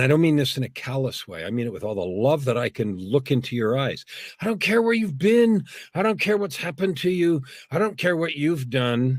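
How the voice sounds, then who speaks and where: A man's fairly high voice, moving at a moderate pace through very wide pitch swings. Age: 60s. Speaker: executive, speaker and author. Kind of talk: inspirational interview.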